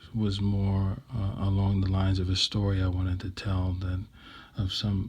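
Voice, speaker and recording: A man's fairly low, dark and mellow voice, somewhat breathy, at a moderate pace on a very clean recording with a silent background. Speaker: vlogger sharing personal reflections. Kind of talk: unscripted personal monologue. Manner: hesitant, many fillers and repetitions.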